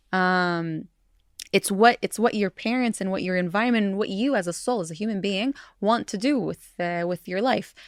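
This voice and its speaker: A woman speaks with an American accent at a medium pitch. The sound is dry and close, with no echo. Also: very clean recording, silent background. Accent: sounds American. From Jerusalem. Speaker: podcast co-host, peace builder. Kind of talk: casual chat. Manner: halting.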